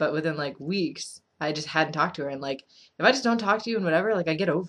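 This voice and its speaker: Very fast and with lively intonation, a woman talks at fairly low pitch. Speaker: vlogger with BPD giving advice. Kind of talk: casual vlog advice. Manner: mumbling; casual, filler-heavy.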